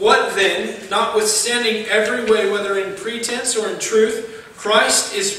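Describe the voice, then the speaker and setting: A man speaks at a fairly slow pace in a raised, projected voice, with audible room echo. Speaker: preacher. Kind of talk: sermon. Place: church. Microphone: podium.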